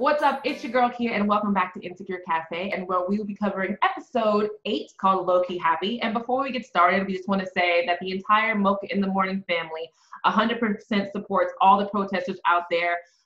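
With audible room echo, the speaker moves at a fairly quick pace with hardly any pauses and ordinary pitch variation. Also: woman. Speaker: web show host. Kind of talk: casual review chat. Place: home room. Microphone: webcam.

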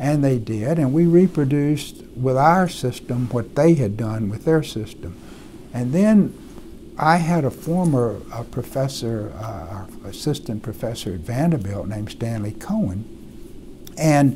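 Light background noise sits behind a speaker with an American accent. The delivery is fairly slow, with very wide pitch swings. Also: man, medium pitch for a man. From US South, Mississippi. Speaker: retired medical researcher. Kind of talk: oral history interview. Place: office. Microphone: lapel.

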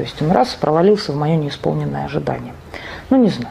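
Light noise in the background behind a woman's voice. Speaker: psychotherapist; presenter. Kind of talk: lecture. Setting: stage with audience. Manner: halting. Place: meeting room.

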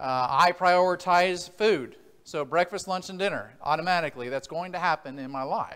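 In a quiet background, a man's voice is heard speaking. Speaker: preacher. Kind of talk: sermon. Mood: relaxed, lightly humorous. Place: church.

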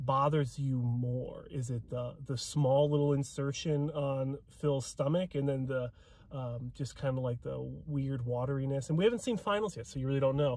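A man talks at a moderate pace with ordinary pitch variation and a somewhat breathy sound. The recording is dry with no echo. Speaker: bodybuilding commentator. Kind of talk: casual vlog commentary. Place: car. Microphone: phone near.

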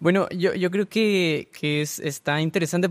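Over a quiet background, a man speaks with fairly even intonation. His pitch is fairly high and his pace moderate. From Baja California, Mexico (Rosarito); Baja California, Mexico. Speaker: theology student; guest. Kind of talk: casual discussion. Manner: halting. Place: studio. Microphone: studio mic.

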